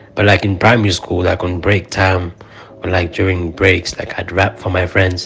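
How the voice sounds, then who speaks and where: A man speaks with a very deep, low pitch and fairly even intonation at a moderate pace. Noticeable background noise is present. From Zimbabwe. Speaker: rapper. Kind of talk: casual interview chat.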